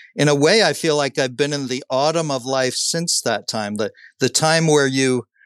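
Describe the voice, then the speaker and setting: On a dry, close recording with no echo and a quiet background, a man with an American accent speaks at a fairly slow pace in a plain, everyday voice with ordinary pitch variation. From Southern California. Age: 60s. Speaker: pastor and author. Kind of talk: interview conversation.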